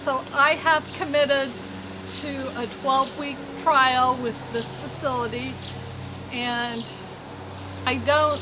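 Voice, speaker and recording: Raising and projecting her high voice, a woman speaks at a very slow pace with monotone, flat intonation and long, frequent pauses, with audible room echo and noticeable background noise. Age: 60s. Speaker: knitting podcaster. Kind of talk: casual monologue. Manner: conversational, with fillers.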